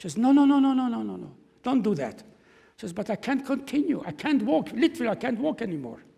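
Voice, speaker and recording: A man talks at a fairly quick pace in a German accent, his tone dark and mellow. His pitch swings very widely. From Czechoslovakia. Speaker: Holocaust survivor. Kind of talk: testimony. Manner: halting.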